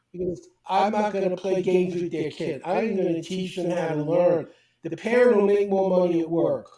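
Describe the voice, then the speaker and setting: A man with a New York accent, high-pitched, dark and mellow in tone, with fairly even intonation at a moderate pace. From US Northeast, Brooklyn New York. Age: 70s. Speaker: speed reading teacher. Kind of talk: interview.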